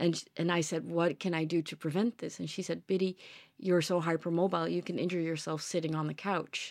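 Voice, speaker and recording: On a very clean recording with a silent background, a woman speaks in a normal speaking voice, fairly low in pitch, with fairly even intonation. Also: fairly quick pace. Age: 40s. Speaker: podcast host and yoga teacher. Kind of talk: casual chat.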